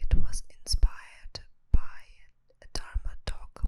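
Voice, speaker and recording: A woman whispers. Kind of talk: ASMR whispered meditation talk. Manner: whispered.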